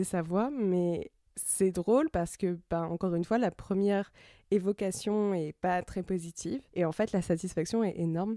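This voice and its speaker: Dry and close with no echo, this very clean recording with a silent background carries a woman's medium-pitched voice. Her tone is dark and mellow, with ordinary pitch variation. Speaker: podcast host. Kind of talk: personal reflective podcast monologue.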